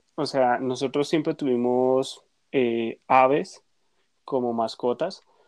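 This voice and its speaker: Against a quiet background, a man speaks at a medium pitch with a dry, close sound and no echo. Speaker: podcast co-host. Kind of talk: casual chat.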